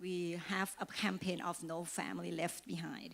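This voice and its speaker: A woman speaks at a moderate pace and a fairly low pitch, with a slight Thai accent. Music plays in the background. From Thailand. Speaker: financial services agent. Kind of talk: presentation.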